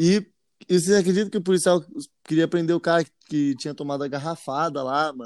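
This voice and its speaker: The recording is very clean and the background silent. A man races along very fast with ordinary pitch variation. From Jacareí, São Paulo state, Brazil. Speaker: musician and podcast co-host. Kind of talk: casual chat.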